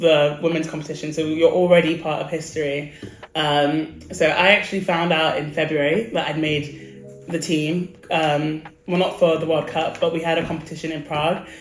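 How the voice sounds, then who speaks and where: A woman with an English accent speaks at a fairly low pitch and moderate pace, with fairly even intonation. Noticeable background noise and audible room echo fill the recording. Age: 20s. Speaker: athlete. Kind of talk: interview.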